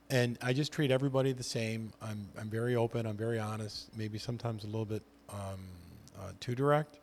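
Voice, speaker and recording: An unremarkable speaking voice at a fairly quick pace with fairly even intonation, in a very clean recording over a silent background. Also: man, medium pitch for a man. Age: 60s. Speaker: veteran real estate agent. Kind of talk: casual chat.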